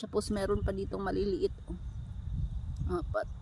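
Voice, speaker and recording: A woman's voice with a fairly high pitch. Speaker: vlogger. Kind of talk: vlog voice-over. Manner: casual.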